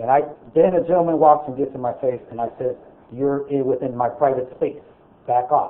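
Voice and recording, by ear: Loud and at a fairly quick pace, a man talks in a medium pitch, and audible room echo surrounds his voice. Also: fairly even intonation.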